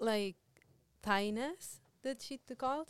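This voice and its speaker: Here is a plain, everyday voice. A woman speaks at a fairly slow pace with ordinary pitch variation. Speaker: Spanish professor and translation specialist. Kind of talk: casual interview chat.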